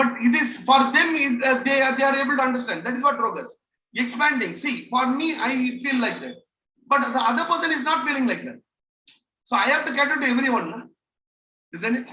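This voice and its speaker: A man with an Indian accent speaks in a raised, projected voice at an extremely high pitch with fairly even intonation. His pace is fairly quick, with long, frequent pauses. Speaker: trainer. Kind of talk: online training session. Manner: halting, many fillers.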